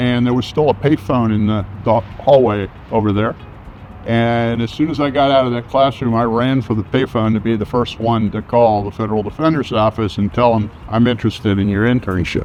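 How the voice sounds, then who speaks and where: With music in the background, a man talks at a medium pitch and a fairly quick pace, his intonation fairly even. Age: 70s. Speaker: lawyer. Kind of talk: interview testimonial. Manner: casual with hesitations.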